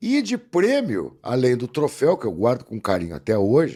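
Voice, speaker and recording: The recording is very clean, with a silent background. On it, a man talks in a dark, mellow tone. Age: 60s. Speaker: actor and voice-over announcer. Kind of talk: casual podcast interview.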